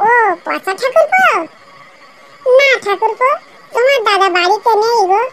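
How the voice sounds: A woman does a squeaky, cartoonish character voice at an extremely high pitch. She keeps a moderate pace with ordinary pitch variation.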